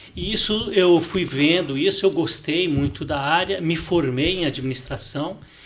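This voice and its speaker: A man talks at a fairly high pitch with ordinary pitch variation. Noticeable background noise is present. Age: 60s. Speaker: finance director. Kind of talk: podcast interview. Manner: hesitant, repeats words.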